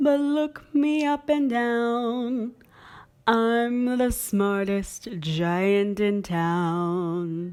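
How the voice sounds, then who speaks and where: A put-on character voice, cheerful and sing-song, at a very slow pace. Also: woman, fairly high pitch for a woman. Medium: read story. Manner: cheerful, sing-song.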